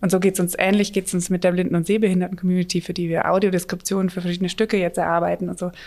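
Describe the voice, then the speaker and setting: Her medium-pitched voice flat and monotone, a woman rushes along at a very fast pace with hardly any pauses. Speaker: theatre director. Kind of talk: casual chat.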